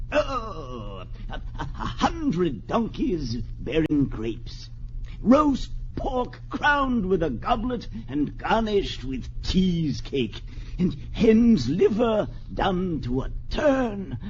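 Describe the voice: A man puts on a character voice, pitched high for a man. He talks at a very slow pace with big pitch swings.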